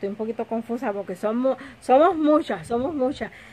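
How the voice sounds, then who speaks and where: Lively in intonation, a woman speaks at a moderate pace. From Puerto Rico. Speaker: lifestyle vlogger. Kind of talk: casual home vlog. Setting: home kitchen. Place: home room. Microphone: phone near.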